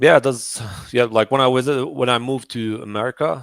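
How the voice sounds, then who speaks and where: A man's voice in a Persian accent. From Iran. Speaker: 3D artist. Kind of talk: interview on a livestream. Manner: halting, many fillers.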